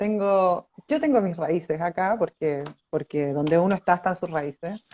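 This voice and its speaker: Speaking at a fairly slow pace, a woman has a fairly low, dark and mellow voice with ordinary pitch variation, recorded with a dry, close sound and no echo. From Chile. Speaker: architect. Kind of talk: interview. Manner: hesitant, many fillers.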